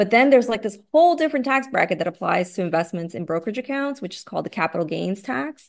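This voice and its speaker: A woman talks at a very fast pace with hardly any pauses, her medium-pitched voice making very wide pitch swings. The background is quiet. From US, raised by Brazilian immigrants. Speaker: money coach, former attorney. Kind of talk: casual interview.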